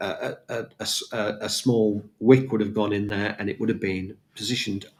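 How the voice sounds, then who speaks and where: A man talks at a fairly low pitch and a moderate pace. His intonation stays monotone and flat. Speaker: auctioneer and valuer. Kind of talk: podcast monologue, relaxed storytelling. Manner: conversational, hesitant with fillers.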